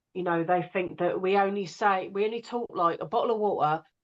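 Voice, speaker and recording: A woman speaks with an English accent. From England. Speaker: audiobook narrator. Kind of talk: casual interview conversation.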